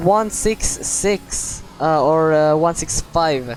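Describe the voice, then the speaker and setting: Background noise is noticeable in this clip. A woman speaks with lively intonation. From Croatia. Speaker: sim racing commentator. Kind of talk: live commentary. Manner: animated.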